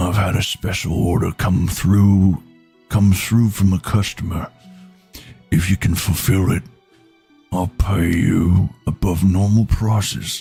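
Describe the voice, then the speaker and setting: A man speaks in a put-on character voice, very deep and low, at a fairly slow pace with long, frequent pauses over faint background music. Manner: gruff, troll-like.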